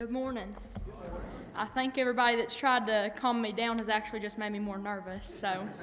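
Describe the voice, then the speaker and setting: A woman with an American accent and a fairly high pitch talks at a fairly quick pace with fairly even intonation, amid audible room echo and noticeable background noise. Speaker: church member reporting on mission trips. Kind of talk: testimony. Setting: church.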